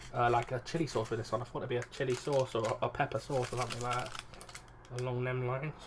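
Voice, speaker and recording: A man with an English accent mumbles at a very fast pace, with hardly any pauses. His medium-pitched delivery is monotone and flat, over noticeable background noise. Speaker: YouTuber. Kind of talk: casual food review vlog. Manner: mumbling.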